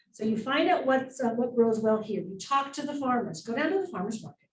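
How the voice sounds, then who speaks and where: Her voice is fairly high and somewhat breathy, moving at a fairly quick pace. There is audible room echo. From Wyoming. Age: 60s. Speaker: market owner and local food advocate. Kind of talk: public talk to a group. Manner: casual, chatty with many fillers.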